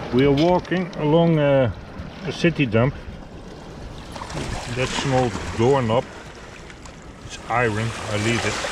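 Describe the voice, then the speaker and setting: A man at a fairly slow pace with long, frequent pauses and ordinary pitch variation, in a dry sound with no echo, amid noticeable background noise. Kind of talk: casual vlog chat. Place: waterside. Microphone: phone near.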